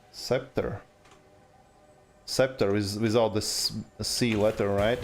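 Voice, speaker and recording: In an Eastern European accent, a man speaks at a very slow pace with fairly low pitch and monotone, flat intonation. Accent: Eastern European accent, noticeable. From Latvia, Riga. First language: Latvian. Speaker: video game streamer. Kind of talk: casual live stream chat. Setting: live stream with game music. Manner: halting, many fillers.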